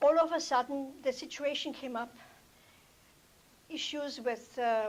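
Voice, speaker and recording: This woman has a high-pitched voice and a non-native accent. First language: not English. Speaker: toastmasters club member, healthcare provider. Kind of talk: prepared speech. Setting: club meeting with audience.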